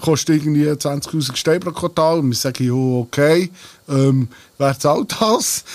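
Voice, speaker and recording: A man with a normal speaking voice talks at a fairly slow pace. His pitch is fairly high, with ordinary pitch variation. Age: 40s. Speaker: singer of a dialect band. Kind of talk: casual chat. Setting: band rehearsal room.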